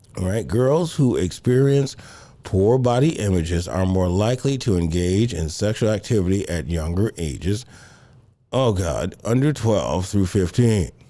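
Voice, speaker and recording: Here is a man with an unremarkable speaking voice, fairly low in pitch. He speaks at a moderate pace with lively intonation. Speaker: pastor and counseling show host. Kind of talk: advice talk on live show. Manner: conversational, lots of rhetorical right.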